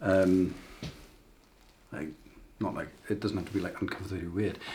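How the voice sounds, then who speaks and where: Amid audible room echo, a somewhat breathy man speaks at a moderate pace in a monotone, flat intonation. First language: not English. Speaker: tattoo artist. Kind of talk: tutorial. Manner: casual, with hesitations.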